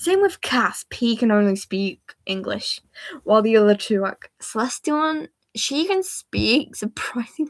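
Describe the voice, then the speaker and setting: Pitched fairly high, a woman with a British accent speaks at a fairly slow pace, her pitch swinging very widely. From Britain. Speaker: livestreamer and digital artist. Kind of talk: casual chat. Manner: animated.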